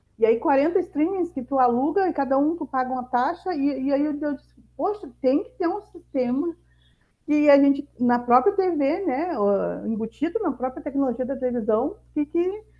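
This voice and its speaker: Speaking in a southern Brazilian accent, a woman with a high pitch keeps a moderate pace and lively intonation. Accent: gaúcho. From Rio Grande do Sul interior, southern Brazil. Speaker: mentor and entrepreneur. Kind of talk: masterclass talk.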